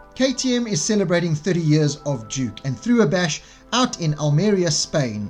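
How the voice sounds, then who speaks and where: With music in the background, a man speaks in a South African accent at a high pitch. His pitch swings very widely, and his pace is moderate. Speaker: motorcycle reviewer.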